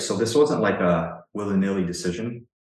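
A man speaks in a Canadian accent at a moderate pace with ordinary pitch variation. Room echo can be heard. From Ontario, Canada. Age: 30s. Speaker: online fitness coach. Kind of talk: casual interview conversation.

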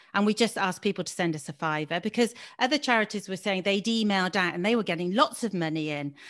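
Woman with a bright, sharp tone and lively intonation, in a very clean recording against a silent background. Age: 50s. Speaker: keynote speaker and charity founder. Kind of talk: interview.

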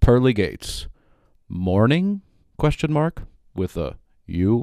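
At a very slow pace, the voice carries a solemn tone on a very clean recording with a silent background. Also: man. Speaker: poet and podcaster. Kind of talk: scripted absurdist poetry and prose performance. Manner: dry irreverent delivery, comic and rhythmic, mock-solemn.

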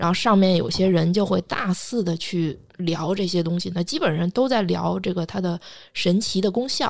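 A woman speaks in a normal speaking voice at a fairly low pitch. Her pitch varies in an ordinary way, at a moderate pace. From China. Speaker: astrologer. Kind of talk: casual podcast chat, storytelling.

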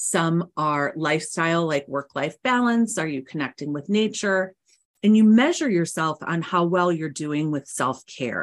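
A plain, everyday voice from a woman, fairly low in pitch, with lively intonation at a fairly slow pace. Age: 50s. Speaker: psychotherapist and author. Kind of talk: interview.

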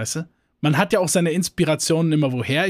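Here a man talks in an animated tone at a fairly quick pace, with a fairly high pitch and ordinary pitch variation. The recording is very clean, with a silent background. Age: 20s. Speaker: podcast co-host. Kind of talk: casual chat.

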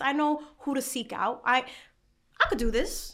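A woman with an American accent uses a raised, projected voice, high in pitch with a bright, sharp tone. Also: very clean recording, silent background. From New York, the Bronx. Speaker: content creator and documentary producer. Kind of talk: casual chat. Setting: restaurant.

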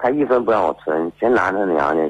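A man speaks with very wide pitch swings. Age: 30s. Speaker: caller, car driver. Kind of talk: telling his story on air. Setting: phone call.

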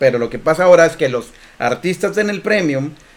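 A man speaks with a Mexican accent. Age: 40s. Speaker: podcast co-host. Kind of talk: casual chat.

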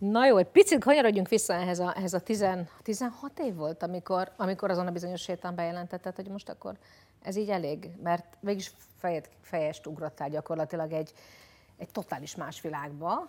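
At a fairly quick pace, a woman speaks in an unremarkable speaking voice of medium pitch, with ordinary pitch variation and big swings in loudness. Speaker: podcast host. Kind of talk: casual chat.

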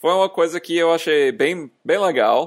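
A man speaks with an English accent. The recording is very clean, with a silent background. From US, small town. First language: English (speaking Portuguese). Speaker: software engineer. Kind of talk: casual chat. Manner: halting.

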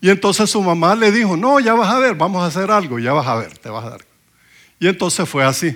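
This man talks at a fairly quick pace with a high pitch. His voice shows very wide pitch swings and big swings in loudness. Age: 60s. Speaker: preacher. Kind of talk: sermon.

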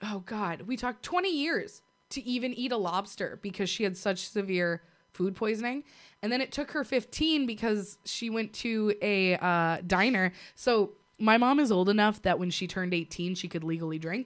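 A woman at a medium pitch speaks at a moderate pace in a plain, everyday voice. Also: lively intonation, very clean recording, silent background. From US, Navy family (born in Puerto Rico, left as infant). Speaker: podcast co-host. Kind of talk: casual chat.

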